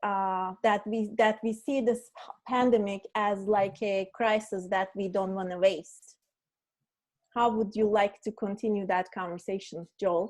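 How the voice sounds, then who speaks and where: The speaker has a non-native accent and talks at a fairly slow pace with fairly even intonation. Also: woman, medium pitch for a woman. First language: not English. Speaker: meetup host and moderator. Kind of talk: online panel discussion.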